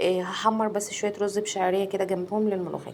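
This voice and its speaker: A woman with a medium pitch talks at a fairly quick pace over noticeable background noise. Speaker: cooking vlogger. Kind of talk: cooking tutorial. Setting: home kitchen.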